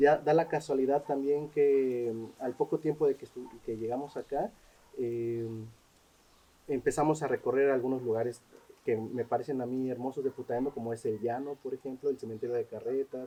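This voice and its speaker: With a Mexican accent, a man at medium pitch speaks in a dark, mellow tone with fairly even intonation. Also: moderate pace. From Mexico. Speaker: social anthropologist. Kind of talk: interview. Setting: cultural center. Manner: hesitant, many fillers.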